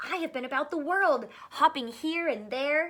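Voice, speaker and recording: At a moderate pace, a woman performs a put-on character voice. It is raised and projected, with a high pitch. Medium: read story. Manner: proud, storytelling.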